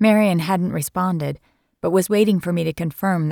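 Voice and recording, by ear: Someone reads aloud in a natural voice, with ordinary pitch variation, and the background is quiet.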